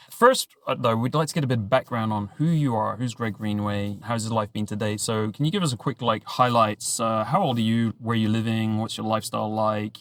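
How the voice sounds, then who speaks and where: A man with a British accent talks fairly quickly with hardly any pauses. His pitch is medium and his intonation fairly even. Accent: British, mistaken for Australian. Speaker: podcast host. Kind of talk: podcast interview.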